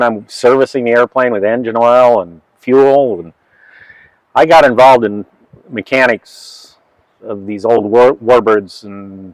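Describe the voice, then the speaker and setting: An unremarkable speaking voice with fairly even intonation. The sound is dry and close, with no echo. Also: man. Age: 60s. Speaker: flight engineer and aircraft mechanic. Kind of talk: casual interview and walkaround explanation.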